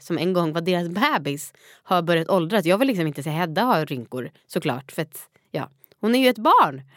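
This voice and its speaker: A woman talks in a normal speaking voice, fairly low in pitch, with lively intonation at a moderate pace. The recording is very clean, with a silent background. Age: 30s. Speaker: podcast host and new mother. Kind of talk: casual chat.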